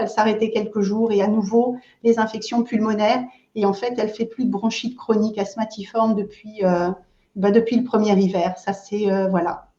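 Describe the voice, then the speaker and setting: Somewhat breathy and dark, mellow in tone, a woman speaks at a fairly high pitch with monotone, flat intonation. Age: 60s. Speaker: aloe vera product seller, entrepreneur. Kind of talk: interview, casual chat. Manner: hesitant, many fillers.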